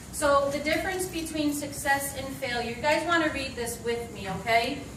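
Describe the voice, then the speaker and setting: Amid noticeable background noise and audible room echo, a woman talks at a high pitch and moderate pace with ordinary pitch variation. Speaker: network marketing distributor giving a talk. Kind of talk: motivational presentation. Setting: stage with audience. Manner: animated. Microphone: no mic, speaking unamplified.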